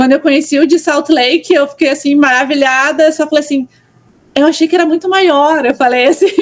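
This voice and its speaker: A high-pitched woman's voice with a southern Brazilian accent and very even loudness. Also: fairly quick pace. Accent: gaúcho (southern Brazilian). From southern Brazil, Porto Alegre. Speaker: church content creator. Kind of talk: podcast interview. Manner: casual, many fillers.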